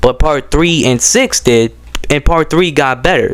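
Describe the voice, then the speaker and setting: A man's fairly high, animated voice at a fairly slow pace, with noticeable background noise. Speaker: YouTube poop creator. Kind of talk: casual vlog monologue. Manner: halting, stuttering; casual, animated.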